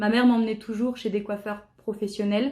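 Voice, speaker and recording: This woman's voice sits fairly high in pitch. The recording is very clean, with a silent background. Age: 20s. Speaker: jazz school student. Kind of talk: testimony. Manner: hesitant, frequent filler sounds.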